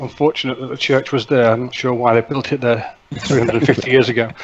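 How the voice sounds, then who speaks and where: A man delivers his words in a monotone, flat way at a moderate pace, with noticeable background noise. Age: old. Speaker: drone hobbyist. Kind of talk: casual chat. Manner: halting.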